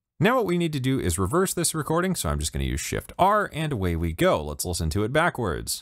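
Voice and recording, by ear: Speaking at a fast pace, a man with a medium pitch makes very wide pitch swings.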